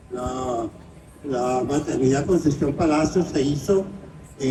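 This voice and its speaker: A man talks at a fairly high pitch with ordinary pitch variation. Noticeable background noise runs behind him. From Venezuela, Caracas. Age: 90s. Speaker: writer and film critic. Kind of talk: interview.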